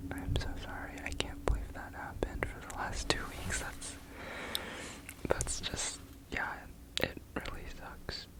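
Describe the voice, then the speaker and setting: Whispering at a fairly slow pace with long, frequent pauses, over noticeable background noise. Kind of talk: ASMR whisper ramble. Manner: whispered; casual, chatty.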